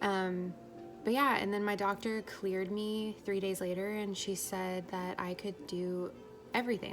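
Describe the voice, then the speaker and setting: A woman's voice with ordinary pitch variation over music in the background. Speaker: vlogger sharing birth story. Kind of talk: casual vlog monologue. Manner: rambling, filler-heavy.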